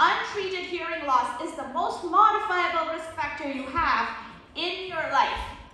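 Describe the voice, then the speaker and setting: A woman speaks at a moderate pace in a raised, projected voice with extremely high pitch, ordinary pitch variation and big swings in loudness, with audible room echo. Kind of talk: lecture. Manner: conversational.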